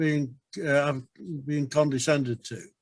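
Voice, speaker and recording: This man has a fairly high voice and an English accent, talking at a moderate pace. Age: 70s. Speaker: retirement village resident. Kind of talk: webinar discussion. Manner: halting, many repeated words.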